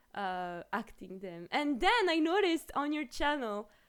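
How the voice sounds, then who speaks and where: A woman with a strong French accent speaks with very wide pitch swings. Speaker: streamer. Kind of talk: casual chat.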